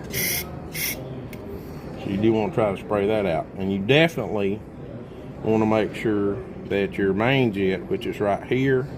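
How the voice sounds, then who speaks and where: Speech at a fairly slow pace with ordinary pitch variation comes through noticeable background noise and audible room echo. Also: man, fairly low pitch for a man. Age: 60s. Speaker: small engine mechanic. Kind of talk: tutorial. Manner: casual, conversational.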